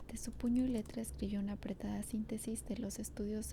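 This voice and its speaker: Soft-spoken delivery at a moderate pace. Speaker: ASMR creator. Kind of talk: reading a novel aloud.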